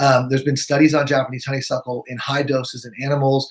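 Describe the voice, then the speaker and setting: This man talks at a fairly quick pace in a fairly high, somewhat breathy voice. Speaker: naturopathic physician. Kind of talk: live webinar presentation. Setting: live video stream. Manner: fast.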